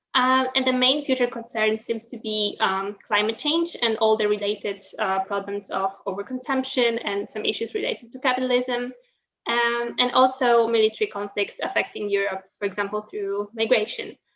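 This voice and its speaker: A woman with a Polish accent talks at a moderate pace, hardly pausing at all. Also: ordinary pitch variation. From Poland. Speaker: university student. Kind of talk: prepared presentation. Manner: hesitant, many fillers.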